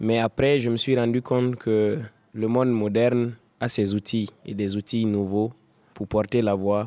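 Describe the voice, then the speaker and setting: A man's voice has a dark, mellow tone. He speaks at a fairly slow pace with monotone, flat intonation. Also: medium pitch for a man. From Burkina Faso, Sahel (Dori). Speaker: blogger and human rights activist. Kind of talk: reportage interview.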